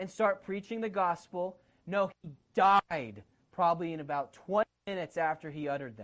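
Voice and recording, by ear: Against a quiet background, someone reads aloud in a natural voice with ordinary pitch variation.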